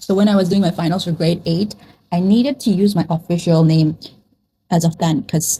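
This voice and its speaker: A somewhat breathy woman at a moderate pace. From Nepal. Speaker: vlogger. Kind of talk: casual chat. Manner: chatty, with many fillers.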